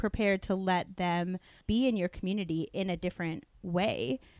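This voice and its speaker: Heard in a very clean recording with a silent background and a dry, close sound with no echo, a normal speaking voice with an American accent moves at a moderate pace with ordinary pitch variation. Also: woman. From Denver, Colorado, US. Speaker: youth pastor. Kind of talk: casual chat.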